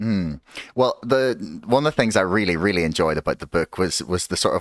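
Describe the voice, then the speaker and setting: In a very clean recording with a silent background and a dry, close sound with no echo, a man with a Northern Irish accent talks at a fairly quick pace with ordinary pitch variation. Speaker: podcast host. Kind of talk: casual interview. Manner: halting, many fillers.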